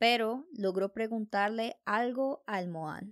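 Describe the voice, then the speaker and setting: A woman talks at a very slow pace with ordinary pitch variation in a very clean recording, silent in the background, dry and close with no echo. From Colombia. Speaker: Spanish teacher and podcast host. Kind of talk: scripted horror story narration in Spanish.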